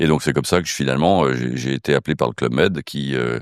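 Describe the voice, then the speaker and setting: Vocal fry runs through a man's very deep, low voice with ordinary pitch variation. The sound is dry and close, with no echo. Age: 60s. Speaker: casino group executive. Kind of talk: interview. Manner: hesitant, many fillers.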